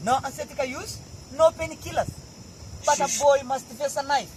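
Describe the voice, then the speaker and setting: A man talks at a moderate pace with fairly even intonation. Noticeable background noise runs underneath. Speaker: Samburu warrior. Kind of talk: oral storytelling to visitors.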